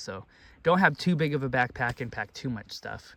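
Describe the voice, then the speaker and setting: Vocal fry marks this man's voice. His pitch varies in an ordinary way. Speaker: student. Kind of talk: casual talk to camera. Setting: outdoors. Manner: hesitant, many fillers.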